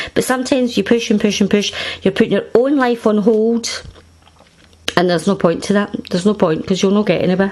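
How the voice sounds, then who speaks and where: Over noticeable background noise, a woman talks at a very even loudness with ordinary pitch variation. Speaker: tarot reader. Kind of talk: tarot reading to camera. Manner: casual, conversational.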